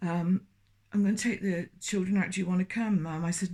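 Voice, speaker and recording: A woman speaks at a fairly low pitch in a somewhat breathy voice. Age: 70s. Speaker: former Jehovah's Witness sharing experiences. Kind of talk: personal testimony. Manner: halting, many hesitations and restarts.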